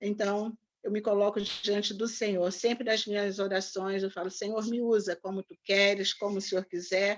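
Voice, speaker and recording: A woman's medium-pitched voice at a moderate pace, with hardly any pauses and a monotone, flat intonation. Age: 60s. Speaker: pastor. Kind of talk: online talk. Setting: video call.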